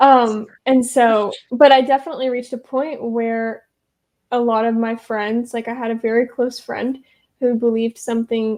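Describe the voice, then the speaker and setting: A woman with an American accent, high-pitched, with a dark, mellow tone, monotone, flat intonation and a moderate pace. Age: 20s. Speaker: church coordinator. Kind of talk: podcast interview. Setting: video call.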